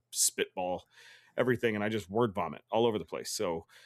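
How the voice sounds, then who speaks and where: The recording is very clean, with a silent background and a dry, close sound with no echo, as a man talks at a fairly quick pace with ordinary pitch variation. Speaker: gaming podcast co-host. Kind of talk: casual chat. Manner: fast; animated.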